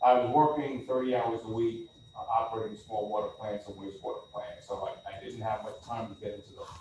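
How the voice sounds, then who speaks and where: With an American accent, a man talks at a fairly quick pace with hardly any pauses and big swings in loudness, over noticeable background noise and audible room echo. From Long Island, New York. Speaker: water utility engineer. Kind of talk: public meeting discussion.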